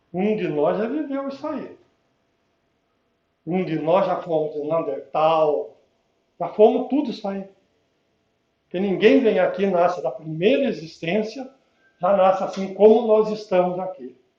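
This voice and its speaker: A man with a high pitch and a dark, mellow tone speaks at a fairly slow pace. His intonation is lively, and he leaves long, frequent pauses. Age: 70s. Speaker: spiritist lecturer. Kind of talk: public lecture. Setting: spiritist center with audience. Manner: casual, conversational.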